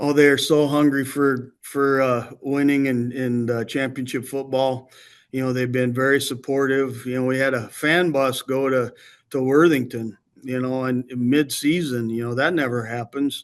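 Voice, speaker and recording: Against a quiet background, a man with an American accent talks at a moderate pace and medium pitch in a monotone, flat intonation. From Iowa, US Midwest. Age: 60s. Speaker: high school football coach. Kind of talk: interview. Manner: halting, many fillers and repeats; calm, even.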